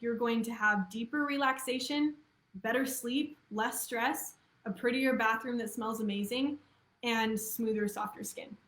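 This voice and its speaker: An ordinary speaking voice from a woman, fairly high-pitched, with fairly even intonation and a moderate pace. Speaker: copywriter. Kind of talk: webinar talk. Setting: live video stream.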